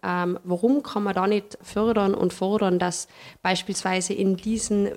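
A woman with a plain, everyday voice talks at a moderate pace with fairly even intonation. The recording is very clean, with a silent background. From Tyrol, Paznaun valley (Austria). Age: young. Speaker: hotelier and tourism industry representative. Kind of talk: interview conversation.

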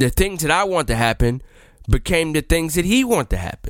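With a plain, everyday voice, a man talks at a fairly high pitch with lively intonation. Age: 20s. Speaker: podcast host. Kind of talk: casual monologue.

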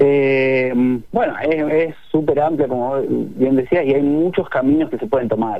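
A man speaks at a fairly slow pace in a plain, everyday voice. His pitch is fairly high, with ordinary variation. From Argentina, Neuquén. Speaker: digital product director. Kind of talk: radio interview.

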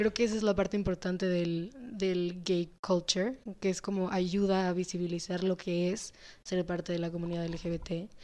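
A woman's voice, dark and mellow in tone, sits at medium pitch with monotone, flat intonation and a moderate pace. Very clean recording, silent background. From Mexico, with US-based family. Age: 20s. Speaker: architecture student. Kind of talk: casual chat.

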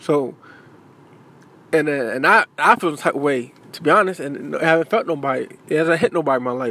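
With a bright, sharp tone and lively intonation, a man with a fairly high voice talks at a fairly quick pace broken by long, frequent pauses. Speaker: podcast host. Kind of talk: casual monologue. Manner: halting.

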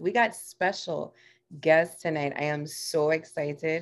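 A woman's low voice at a slow pace, with fairly even intonation and vocal fry

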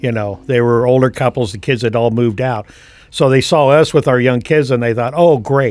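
A man's medium-pitched voice with an American accent, a moderate pace and ordinary pitch variation. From US West Coast, San Francisco Bay Area. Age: 60s. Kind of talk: casual chat.

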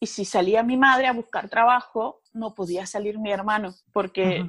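This woman has a plain, everyday voice. She talks at a fairly high pitch with fairly even intonation. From Georgia, Sukhumi (Abkhazia). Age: 30s. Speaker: war survivor. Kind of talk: testimony.

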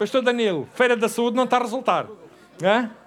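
This man's voice is extremely high-pitched. His tone is animated. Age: 60s. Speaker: pastor. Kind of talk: sermon.

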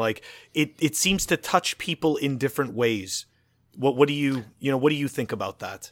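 A man with an unremarkable speaking voice talks at a fairly high pitch. His pace is fairly quick, and his pitch varies in an ordinary way. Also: very clean recording, silent background. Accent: Canadian. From Montreal, Canada. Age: 30s. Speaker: podcast host. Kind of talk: casual chat.

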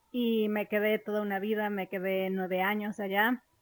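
A woman speaks at a fairly high pitch with a Mexican accent. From Mexico. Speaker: podcast host, banking product expert. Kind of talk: casual monologue. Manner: animated.

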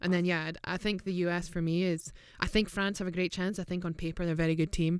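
A woman with a Scottish accent speaks very fast in a fairly low, flat monotone. The recording is very clean, with a silent background. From Scotland. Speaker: professional footballer and podcast co-host. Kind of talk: casual chat. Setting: studio.

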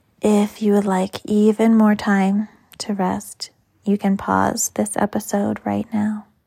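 A woman speaks very slowly in a dark, mellow, somewhat breathy voice with a calm, gentle tone. Her intonation stays monotone and flat, and the sound is dry and close with no echo. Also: medium pitch for a woman, very clean recording, silent background. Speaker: yoga teacher. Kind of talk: guided meditation. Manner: slow, soft, soothing; calm, gentle pacing with long pauses.

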